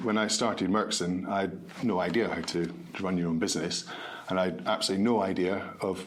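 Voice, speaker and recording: A man with a Scottish accent speaks in a very deep, low voice with fairly even intonation. Audible room echo and noticeable background noise are present. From Scotland, Edinburgh. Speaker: med-tech company founder. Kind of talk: podcast interview.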